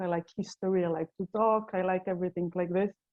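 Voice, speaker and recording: A woman with a Slovenian accent speaks at a moderate pace, medium pitch and fairly even intonation. Her tone is dark and mellow, with a dry, close sound and no echo. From Slovenia, Ljubljana. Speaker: tour guide. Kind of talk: casual chat.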